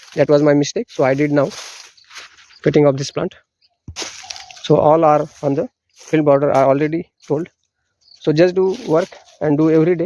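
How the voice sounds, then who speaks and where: Recorded dry and close with no echo, a man with an Indian accent uses a fairly high pitch and fairly even intonation, with long, frequent pauses. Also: moderate pace. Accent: Indian (Marathi) English. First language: Marathi. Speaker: farmer. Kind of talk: outdoor farm tour tutorial. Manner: halting.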